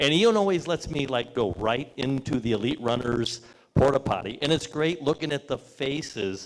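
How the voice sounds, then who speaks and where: Lively intonation runs through an ordinary speaking voice. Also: man. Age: 60s. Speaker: sponsor representative. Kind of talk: press conference speech. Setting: brewery event with audience. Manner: casual, joking.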